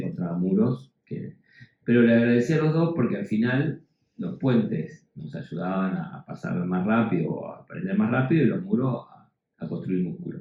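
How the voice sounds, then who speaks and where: This man speaks with an Argentine accent at a moderate pace. His dark, mellow tone sits at a medium pitch and swings very widely. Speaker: educator, panel speaker. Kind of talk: panel discussion. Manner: halting, many fillers and repetitions.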